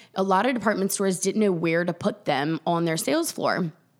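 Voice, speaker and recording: At a fairly quick pace, a woman with an American accent talks at medium pitch with ordinary pitch variation. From US South, South Carolina. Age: 40s. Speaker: boutique owner. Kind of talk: casual chat. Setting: in the host's house.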